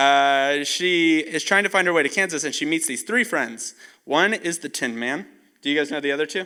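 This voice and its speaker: A man with a fairly high pitch sounds bright, sharp, and animated, using ordinary pitch variation at a moderate pace in a very clean recording with a silent background. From Costa Rica. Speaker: camp speaker. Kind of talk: youth camp talk. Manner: casual.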